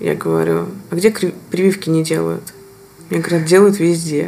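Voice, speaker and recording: Noticeable noise fills the background. Over it, a woman speaks at a moderate speed. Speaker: podcast host. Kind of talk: casual interview conversation.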